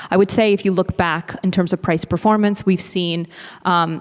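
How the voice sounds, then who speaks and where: A woman at a medium pitch, with an American accent and ordinary pitch variation, has an unremarkable speaking voice. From United States. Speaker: business executive panelist. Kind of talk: panel discussion.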